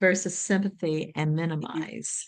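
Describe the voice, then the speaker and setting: A woman with an unremarkable speaking voice, ordinary pitch variation and a moderate pace, in a dry, close recording with no echo. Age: 60s. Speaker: meeting facilitator. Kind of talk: casual discussion.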